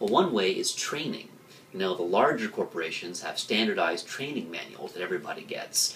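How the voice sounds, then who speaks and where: Light background noise behind a man speaking. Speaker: marketing commentator. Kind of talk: commentary. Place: office. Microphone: webcam.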